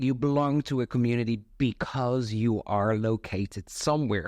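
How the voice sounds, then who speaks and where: A man speaks at a medium pitch with a Dutch accent. The background is quiet. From Netherlands. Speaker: community founder. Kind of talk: casual chat.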